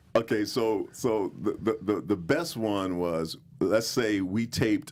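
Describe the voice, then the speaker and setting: A man with an American accent speaks at a fairly slow pace and a fairly low pitch. His pitch variation is ordinary, with music in the background. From Brooklyn, New York. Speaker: actor and TV court bailiff. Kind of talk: casual interview chat.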